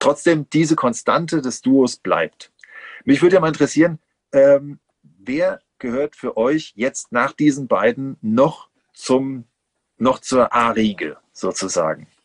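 A man speaks at a very slow pace with a fairly high pitch and ordinary pitch variation. The background is quiet. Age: 40s. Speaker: podcast host. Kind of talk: casual chat. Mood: enthusiastic nostalgic fan talk. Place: home room. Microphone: video call.

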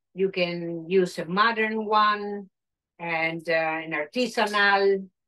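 A woman speaks in a Spanish accent with ordinary pitch variation. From Argentina. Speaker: chef and caterer; guest. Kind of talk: cooking demonstration. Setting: video call. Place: kitchen. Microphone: video call.

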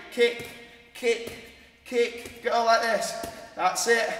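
A man speaks with an extremely high pitch. Light background noise and audible room echo are present. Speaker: fitness instructor. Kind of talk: workout instruction. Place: gym.

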